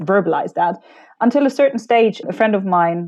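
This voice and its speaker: Talking at a fairly quick pace, a woman with a non-native accent uses lively intonation at a medium pitch. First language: not English. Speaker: personal branding strategist and keynote speaker. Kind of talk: interview conversation. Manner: animated.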